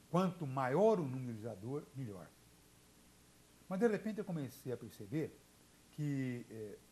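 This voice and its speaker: Breathy to a degree and dark, mellow in tone, a man speaks at a fairly high pitch and moderate pace, with very wide pitch swings, big swings in loudness, and long, frequent pauses. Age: 60s. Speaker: journalist and radio broadcaster. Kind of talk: TV interview. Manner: halting, many fillers and repetitions.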